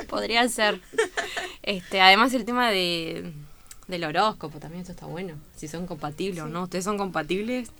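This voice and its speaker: A plain, everyday voice moves at a moderate pace with ordinary pitch variation and big swings in loudness. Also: woman, medium pitch for a woman. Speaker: university radio host. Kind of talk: radio interview.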